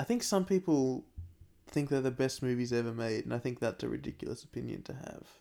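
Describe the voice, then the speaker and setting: A man's dark, mellow voice at medium pitch, very fast, with ordinary pitch variation. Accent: Australian. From Australia. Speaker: podcast co-host. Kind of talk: casual chat.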